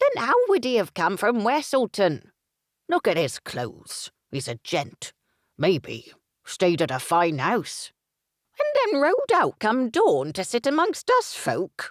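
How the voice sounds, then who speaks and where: A man puts on a croaky character voice at an extremely high pitch, speaking fairly slowly. The sound is dry and close, with no echo. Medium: read story. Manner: gossipy, suspicious.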